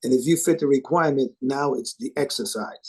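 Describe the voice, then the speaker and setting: The man's dark, mellow tone comes through in a dry, close sound with no echo. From New York City, South Bronx. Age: 60s. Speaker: live sound engineer. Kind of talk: interview. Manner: halting, with many fillers and repeats.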